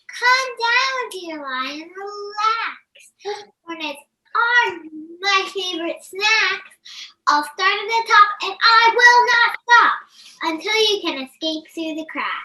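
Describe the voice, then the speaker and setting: A woman uses a put-on character voice, squeaky and extremely high in pitch. She talks at a very slow pace. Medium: stage play. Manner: polite, earnest.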